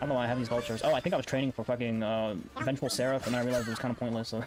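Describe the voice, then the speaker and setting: A man speaks at a very fast pace and medium pitch, with fairly even intonation. Music plays in the background. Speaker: gaming YouTuber. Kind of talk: gameplay commentary. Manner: casual, filler-heavy.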